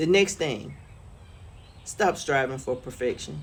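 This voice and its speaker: A woman's voice with vocal fry. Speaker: lifestyle vlogger. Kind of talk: casual monologue vlog. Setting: outdoors on front porch.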